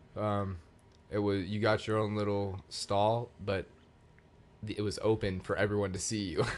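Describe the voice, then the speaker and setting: Pitched fairly low, a man talks at a moderate pace with monotone, flat intonation. He takes long, frequent pauses. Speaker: podcast guest. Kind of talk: casual chat.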